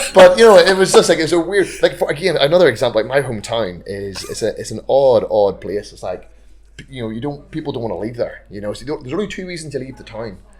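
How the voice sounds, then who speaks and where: With a Northern Irish accent, a man talks at a very fast pace in a fairly high pitch with vocal fry, very wide pitch swings and big swings in loudness. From Northern Ireland. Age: 30s. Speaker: amateur rugby player. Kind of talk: casual chat.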